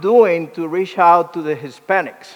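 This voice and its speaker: A man talks at a moderate pace with ordinary pitch variation. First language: Spanish. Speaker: ministry director. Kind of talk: motivational presentation. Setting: luncheon event with audience.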